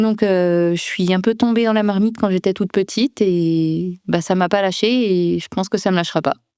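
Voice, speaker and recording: Speaking at a moderate pace with hardly any pauses, a woman with a slight Ardennes accent has a medium pitch, a dark, mellow tone and fairly even intonation, recorded very cleanly, dry and close with no echo against a silent background. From France, Ardennes near the Belgian border. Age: 20s. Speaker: trail runner and sports science PhD student. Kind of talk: interview. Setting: sports altitude centre.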